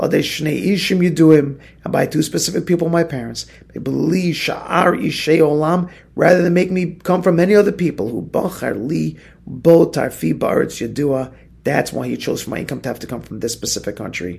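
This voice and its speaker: At a moderate pace, a man speaks with vocal fry at a fairly high pitch. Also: ordinary pitch variation. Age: 40s. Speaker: rabbi teaching a daily Torah class. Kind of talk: religious text study lecture. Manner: repeats words when speaking off the cuff.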